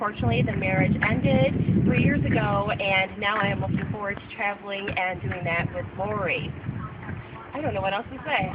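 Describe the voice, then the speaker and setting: Amid noticeable background noise, a woman talks at a moderate pace and a medium pitch with lively intonation. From Southwestern Michigan, USA. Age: 30s. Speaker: event coordinator. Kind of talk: casting video talk to camera.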